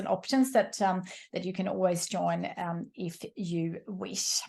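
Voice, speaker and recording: A woman with a somewhat breathy voice and ordinary pitch variation talks over a quiet background. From Sweden. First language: Swedish. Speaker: entrepreneur and coach. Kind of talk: online workshop presentation. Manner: fast; hesitant, many fillers.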